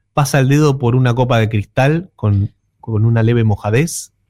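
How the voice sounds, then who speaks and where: A man's ordinary speaking voice at a moderate pace with ordinary pitch variation, dry and close with no echo. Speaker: music columnist. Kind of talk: radio music segment.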